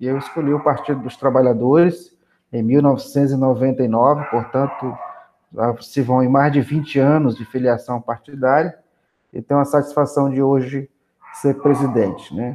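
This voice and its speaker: With an ordinary speaking voice, a man with a fairly high pitch speaks fairly slowly and with fairly even intonation over a quiet background. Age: 40s. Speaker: politician and social worker. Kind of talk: interview.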